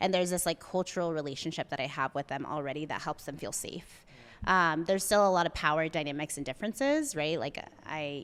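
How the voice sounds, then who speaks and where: A woman with a Spanish accent, very deep and low in pitch, at a very fast pace with ordinary pitch variation, on a very clean recording against a silent background. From US, Mexican-American family. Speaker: therapist and coffee shop founder. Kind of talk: podcast interview.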